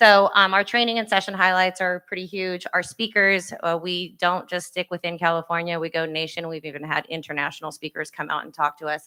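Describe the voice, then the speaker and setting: A woman with a fairly low pitch and a bright, sharp tone, fairly even intonation, big swings in loudness, a fairly quick pace and hardly any pauses, in a dry, close sound with no echo on a very clean recording with a silent background. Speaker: parks and recreation manager. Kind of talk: conference presentation. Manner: fast.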